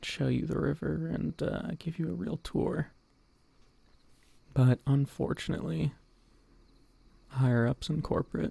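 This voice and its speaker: Long, frequent pauses break up the speech. The man keeps to a fairly slow pace. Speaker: VTuber streamer. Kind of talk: ASMR talk. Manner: speaking quietly, not whispering; halting, repeats words.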